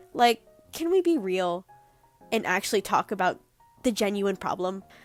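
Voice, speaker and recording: A woman at a medium pitch, at a moderate pace, with music in the background and a dry, close sound with no echo. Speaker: digital artist. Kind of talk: casual rant to camera.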